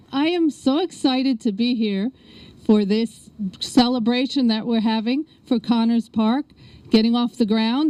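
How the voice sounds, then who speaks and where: A woman with a strong New York accent, fairly high in pitch, at a moderate pace with ordinary pitch variation, in a dry, close sound without echo. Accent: New York accent, still strong. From New York City (South Bronx, Queens). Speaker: state politician. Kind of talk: ceremony speech.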